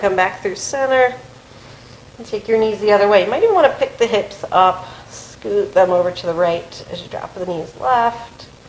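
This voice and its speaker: The tone is calm and the pace moderate, with ordinary pitch variation. Loudness swings widely, and background noise is noticeable. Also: woman, medium pitch for a woman. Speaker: yoga teacher. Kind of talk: guided yoga class.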